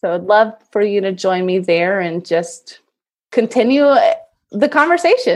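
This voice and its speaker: The speaker has a normal speaking voice with an American accent. Delivery is fairly slow, with lively intonation. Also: woman, medium pitch for a woman. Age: 30s. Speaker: digital marketing business owner. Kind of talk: interview.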